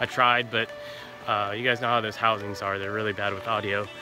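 A man's fairly low, monotone, flat voice at a fairly quick pace, dry with no echo, over clear music in the background. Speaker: travel vlogger. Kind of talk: casual vlog chat. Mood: relaxed, content. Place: forest. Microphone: phone near.

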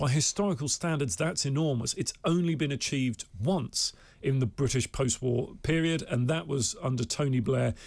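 A somewhat breathy voice at a moderate pace with ordinary pitch variation and a quiet background. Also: man. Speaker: pollster; guest. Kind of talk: studio interview. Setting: studio. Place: studio. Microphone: studio mic.

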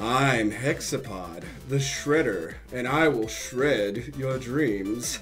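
Clear music plays behind a man using a put-on character voice. His pitch is medium with ordinary variation, and his pace is very slow. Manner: menacing, theatrical.

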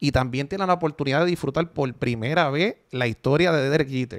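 Speaking at a very fast pace, a man uses a fairly high pitch with ordinary pitch variation. The background is quiet. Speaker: video game reviewer. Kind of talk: casual chat. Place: home room. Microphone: studio mic.

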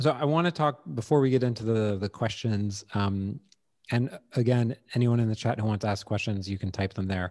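Here a man talks at a fairly quick pace in a medium pitch. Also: ordinary pitch variation, quiet background. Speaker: podcast host. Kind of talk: interview. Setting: video call. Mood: relaxed, conversational. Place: home room. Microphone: studio mic.

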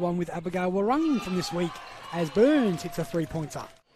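A man's high-pitched voice at a fairly quick pace, over noticeable background noise. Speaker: basketball commentator. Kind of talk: live sports commentary. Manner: rattles off names and stats.

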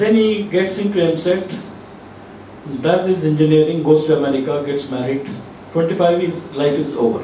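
A man speaks at a moderate pace with fairly high pitch and ordinary pitch variation. There is audible room echo and light background noise. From India, Telangana. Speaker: civil society activist. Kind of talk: panel discussion. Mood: critical, earnest. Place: meeting room.

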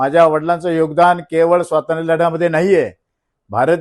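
The man's voice sits at a high pitch. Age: 60s. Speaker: politician. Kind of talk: press statement to reporters. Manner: forceful.

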